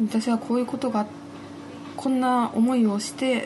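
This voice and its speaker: A woman talks at a moderate pace with a fairly high pitch. Noticeable background noise can be heard. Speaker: poet. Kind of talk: interview.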